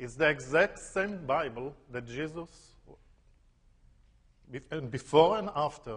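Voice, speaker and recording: Speaking very slowly with long, frequent pauses, a man with an Israeli accent uses a somewhat breathy, fairly high voice that swings widely in loudness. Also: ordinary pitch variation. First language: Hebrew. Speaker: tour guide. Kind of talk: lecture.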